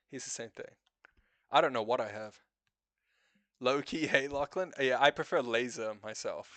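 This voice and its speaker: A man with a slight New Zealand accent speaks at a medium pitch and a moderate pace, with long, frequent pauses. His loudness swings widely against a quiet background. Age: 30s. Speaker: live streamer. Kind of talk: casual chat. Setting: live stream.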